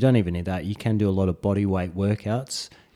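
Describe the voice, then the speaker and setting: Fairly quick speech comes from a man with an Australian accent. His tone is dark and mellow, and his intonation fairly even. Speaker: podcast co-host, parent of a newborn. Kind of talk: casual chat. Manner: hesitant with fillers.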